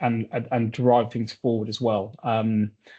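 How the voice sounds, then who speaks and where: A man with a southern English accent, medium-pitched with a dark, mellow tone and monotone, flat intonation, at a moderate pace against a quiet background. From southern England. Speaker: consulting firm representative. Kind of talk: webinar presentation. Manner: hesitant, many fillers and repetitions.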